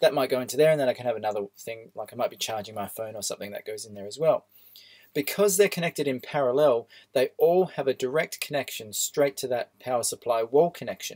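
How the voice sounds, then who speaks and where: Speaking at a very fast pace, a man with a fairly high pitch comes through in a dry, close sound with no echo. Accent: Australian. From Australia. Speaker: electronics teacher. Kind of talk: tutorial. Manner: casual, with filler words.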